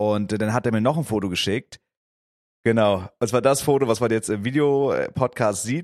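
In a plain, everyday voice, a man at medium pitch talks at a moderate pace with ordinary pitch variation and a dry, close sound with no echo. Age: 20s. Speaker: podcast co-host. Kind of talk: casual chat.

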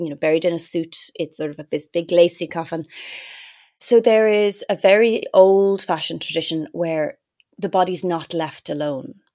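A woman with a Dublin accent and fairly low pitch, dry and close with no echo, on a very clean recording with a silent background. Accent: Irish (Dublin). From Ireland, Dublin. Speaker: actress. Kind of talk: casual interview.

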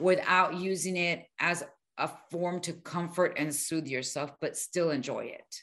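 Against a quiet background, a woman with an American accent speaks fairly slowly at medium pitch with ordinary pitch variation, an unremarkable speaking voice. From US, Miami; Colombian family. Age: 50s. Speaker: weight-loss coach. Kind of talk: interview.

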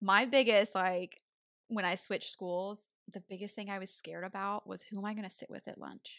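A woman with a Southern US accent talks at a fairly quick pace with fairly even intonation. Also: medium pitch for a woman, big swings in loudness. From Tennessee. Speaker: podcast co-host. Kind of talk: casual chat.

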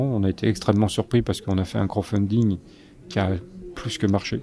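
A man talks at a fairly quick pace in a fairly low pitch, his intonation fairly even. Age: 60s. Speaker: photojournalist. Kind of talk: interview. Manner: halting.

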